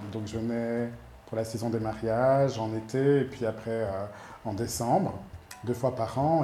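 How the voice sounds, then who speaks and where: Amid noticeable background noise and audible room echo, a man with a medium-pitched voice speaks at a very slow pace with fairly even intonation. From Belgium, Brussels. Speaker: make-up artist and photographer. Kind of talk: interview. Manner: hesitant, many fillers.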